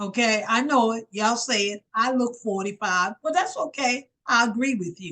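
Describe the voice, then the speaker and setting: In a normal speaking voice, a woman talks at a moderate pace with hardly any pauses. Her fairly high pitch carries lively intonation, and the sound is dry and close with no echo. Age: 60s. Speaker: evangelist and wellness vlogger. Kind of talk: casual talk to camera about health. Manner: informal, conversational.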